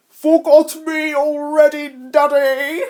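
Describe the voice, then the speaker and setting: A put-on character voice, high and monotone with flat intonation, at a very slow pace. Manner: evil, sly.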